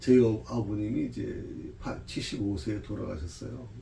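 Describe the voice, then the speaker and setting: A man speaks at a fairly slow pace, with audible room echo around his voice. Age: 60s. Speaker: pastor. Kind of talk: Bible study lecture. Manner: conversational, with frequent fillers.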